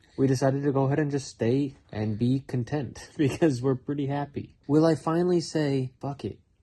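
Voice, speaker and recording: A man talks in a medium pitch with ordinary pitch variation. His tone is dark and mellow, and somewhat breathy. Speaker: YouTuber. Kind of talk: casual chat. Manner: slurs speech at times.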